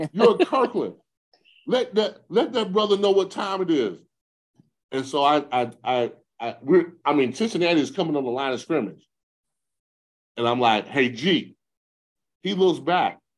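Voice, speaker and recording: With an American accent and an animated tone, a high-pitched man speaks at a moderate pace, leaving long, frequent pauses. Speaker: retired football player. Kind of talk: interview storytelling. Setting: podcast.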